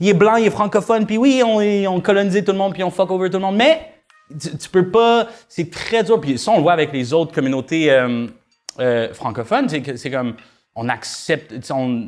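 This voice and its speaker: With music in the background, a man in a Quebec accent speaks at a moderate pace, his high voice making very wide pitch swings. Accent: Québécois French. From Quebec, Rouyn-Noranda. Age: young. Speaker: musician. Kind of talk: casual chat.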